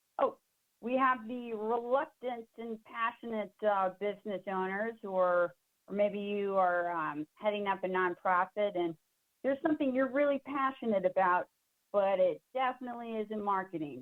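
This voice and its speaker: A woman's ordinary speaking voice at medium pitch with an American accent, ordinary pitch variation and a moderate pace. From Southwestern Virginia. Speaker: marketing workshop presenter. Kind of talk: webinar presentation. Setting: online webinar. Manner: casual, lots of fillers.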